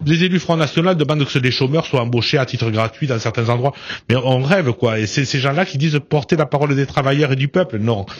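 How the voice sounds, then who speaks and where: Speaking at a fairly quick pace, a man has a fairly high voice with ordinary pitch variation. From southern France. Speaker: politician. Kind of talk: radio interview. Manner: loud, forceful; hesitant, many fillers.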